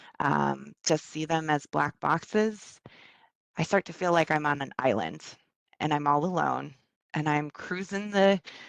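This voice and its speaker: In a dry, close sound with no echo, a woman with a slight Minnesota accent speaks at a fairly slow pace. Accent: slight Minnesota accent, long O. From US Midwest, Minnesota (ages three to eight). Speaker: workplace well-being facilitator, presenter. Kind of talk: online presentation. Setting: video call from home. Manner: hesitant, many fillers.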